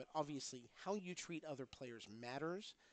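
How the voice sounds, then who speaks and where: A man is speaking. His voice is quiet. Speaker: livestream commentator at pinball tournament. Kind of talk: live stream commentary. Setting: pinball tournament venue. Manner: speaking quietly.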